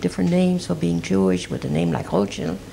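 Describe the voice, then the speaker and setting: A woman speaks over noticeable background noise. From Belgium, Brussels. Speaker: Holocaust survivor. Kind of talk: oral history testimony. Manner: halting.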